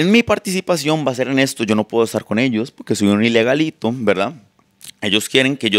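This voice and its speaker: In a Costa Rican accent, a man speaks with lively intonation. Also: quiet background. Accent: unchanged Costa Rican. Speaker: content creator. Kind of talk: casual chat. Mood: relaxed, storytelling. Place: studio. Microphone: handheld.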